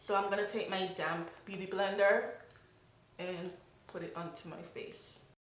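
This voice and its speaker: Over noticeable background noise and audible room echo, a woman with a medium pitch talks in a monotone, flat intonation, her loudness swinging a lot between long, frequent pauses. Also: moderate pace. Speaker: beauty vlogger. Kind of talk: makeup tutorial.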